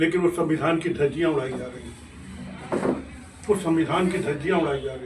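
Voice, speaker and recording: At a moderate pace, a man with a high pitch speaks over noticeable background noise. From western Uttar Pradesh, Meerut. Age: 60s. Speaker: politician, former state minister. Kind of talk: interview. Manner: animated.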